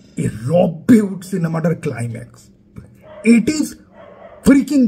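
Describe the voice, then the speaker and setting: A man is speaking, and noticeable background noise can be heard. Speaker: YouTuber film reviewer. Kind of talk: casual film review vlog. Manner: animated.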